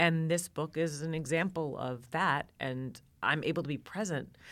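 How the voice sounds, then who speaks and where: A woman with an American accent speaks at a very deep, low pitch with ordinary pitch variation, on a very clean recording with a silent background. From New York. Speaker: cookbook author and TV cooking presenter. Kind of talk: casual chat.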